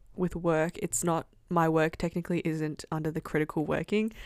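In a fairly low voice with an Australian accent, a woman talks at a fairly slow pace in a flat monotone, on a very clean recording with a silent background. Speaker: university student. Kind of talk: casual chat.

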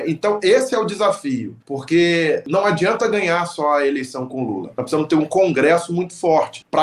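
Moderate pace over noticeable background noise. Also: man. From Rio de Janeiro, Zona Oeste (Vila Kennedy). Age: 40s. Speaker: local party leader. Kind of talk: interview.

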